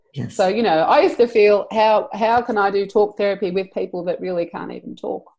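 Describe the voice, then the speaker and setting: Speaking with an Australian accent, a woman talks at a fairly quick pace with hardly any pauses and big swings in loudness. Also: medium pitch for a woman, ordinary pitch variation. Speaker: EFT practitioner and trainer. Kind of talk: interview.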